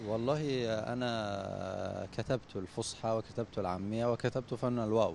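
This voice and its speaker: With hardly any pauses, a man talks at a very slow pace in a fairly even intonation. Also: medium pitch for a man. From Upper Egypt, Sohag. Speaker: poet. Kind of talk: interview. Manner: halting, many fillers.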